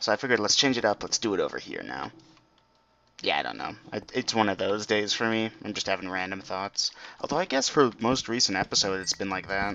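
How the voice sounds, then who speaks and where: Here a man speaks at a fairly quick pace. His pitch is fairly low, with ordinary variation. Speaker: gaming video creator. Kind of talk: let's play commentary. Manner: quieter than usual.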